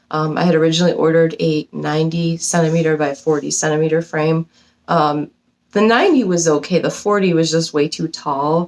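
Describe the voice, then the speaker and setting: Fairly quick speech from a woman, fairly low in pitch, with fairly even intonation and very even loudness. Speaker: cross stitch video creator. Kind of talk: casual vlog chat. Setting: home basement. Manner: fast; hesitant, many ums.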